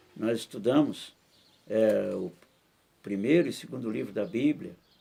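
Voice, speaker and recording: A man's dark, mellow voice carries vocal fry as he speaks at a fairly slow pace. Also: medium pitch for a man, lively intonation. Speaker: pastor. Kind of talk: bible study teaching in church.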